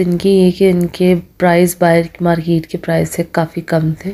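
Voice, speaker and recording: A woman speaks at a very slow pace with a fairly low pitch. Her intonation is monotone and flat, and her tone dark and mellow. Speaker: food vlogger. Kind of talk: casual vlog chat. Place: cafe. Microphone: phone near.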